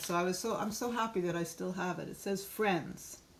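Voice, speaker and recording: Amid noticeable background noise and audible room echo, a woman speaks at a moderate pace and a fairly low pitch. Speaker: art workshop teacher. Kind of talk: online workshop.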